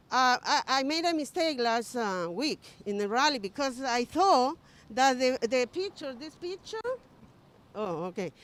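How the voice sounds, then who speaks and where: A woman with a non-native accent, high in pitch, fairly slow, with very wide pitch swings. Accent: foreign. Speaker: political rally speaker. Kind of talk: rally speech. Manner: halting.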